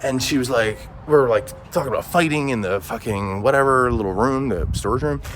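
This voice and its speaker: A man is speaking. His pitch is medium, and there is noticeable background noise. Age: 40s. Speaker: vlogger. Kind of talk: casual monologue vlog.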